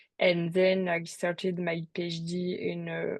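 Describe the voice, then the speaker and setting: A woman's fairly low voice with a French accent, at a very slow pace. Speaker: PhD student in cosmology. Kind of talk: webinar talk. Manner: halting, many fillers.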